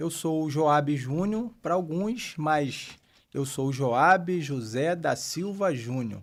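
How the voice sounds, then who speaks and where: Very slowly, a man with a fairly high pitch talks with lively intonation. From Pernambuco, Brazil (Abreu e Lima). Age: 50s. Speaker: pastor. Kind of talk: interview. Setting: studio.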